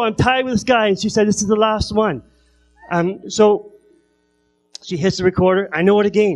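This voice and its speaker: A man keeps a moderate pace while music plays in the background. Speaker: comedian. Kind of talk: stand-up. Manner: halting.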